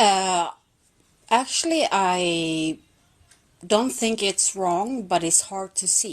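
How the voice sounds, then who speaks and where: Against a quiet background, a woman with a Swedish accent talks very slowly at a medium pitch, her intonation lively and her pauses long and frequent. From Sweden. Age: 40s. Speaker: caller on a live stream. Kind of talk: debate.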